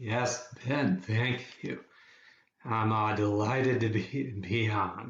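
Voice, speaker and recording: A man speaks at a very slow pace with a medium pitch. His voice is somewhat breathy and his intonation fairly even. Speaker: psychotherapist. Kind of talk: interview. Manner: halting.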